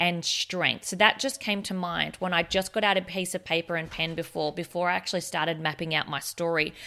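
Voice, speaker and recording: Fairly quick, with hardly any pauses: a woman with an Australian accent, fairly low in pitch, bright and sharp in tone, with fairly even intonation. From Australia, regional Victoria. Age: 30s. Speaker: podcast host. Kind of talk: personal testimony. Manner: hesitant, many fillers.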